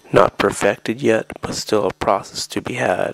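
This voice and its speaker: A man speaks at a fairly slow pace in a dry, close sound with no echo, over noticeable background noise. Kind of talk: poetry reading.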